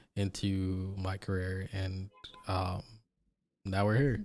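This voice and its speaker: A man with an American accent speaks at a fairly low pitch. The recording is very clean, with a silent background. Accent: American-sounding, Jamaican accent hidden. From Jamaica. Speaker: interview guest. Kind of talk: casual interview.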